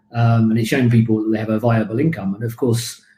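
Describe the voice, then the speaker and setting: A man with a British accent speaks at a medium pitch in a monotone, flat way, his voice somewhat breathy. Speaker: birding tour leader. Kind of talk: live online talk Q&A.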